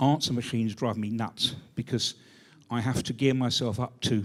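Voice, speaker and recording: On a very clean recording with a silent background, a man with a British accent talks at a medium pitch. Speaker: retired university careers advisor. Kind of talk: audience question.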